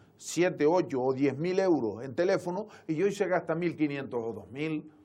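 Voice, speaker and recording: This man's voice has a dark, mellow tone, high pitch and ordinary pitch variation. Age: 60s. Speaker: local politician, town councillor. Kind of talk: TV interview.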